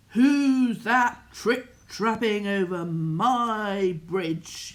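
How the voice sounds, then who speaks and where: A booming, put-on character voice sits at a fairly high pitch. It moves at a very slow pace. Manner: menacing, threatening.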